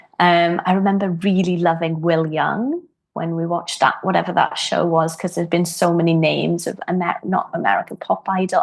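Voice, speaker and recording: A woman speaks in a Welsh accent at a moderate pace, her pitch fairly low. Her intonation is monotone and flat, over a quiet background. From Wales. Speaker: harpist. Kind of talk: podcast interview. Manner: hesitant, many fillers.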